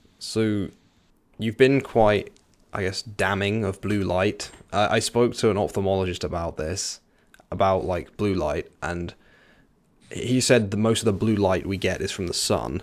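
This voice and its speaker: A man with a southern English accent speaks at a fairly slow pace and fairly low pitch, with ordinary pitch variation and long, frequent pauses. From England, near London. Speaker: podcast host. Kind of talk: interview. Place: home room. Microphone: studio mic.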